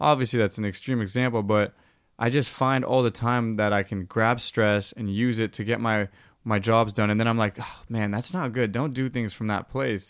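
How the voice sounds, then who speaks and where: In a plain, everyday voice with an American accent, a man speaks at a medium pitch and moderate pace with fairly even intonation, in a very clean recording with a silent background. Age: 30s. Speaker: podcast host. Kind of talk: casual chat.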